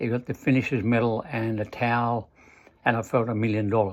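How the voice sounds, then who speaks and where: A man speaks at a medium pitch and moderate pace with fairly even intonation against a quiet background. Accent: Australian. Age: 70s. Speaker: retired amateur triathlete. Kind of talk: motivational talk. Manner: halting.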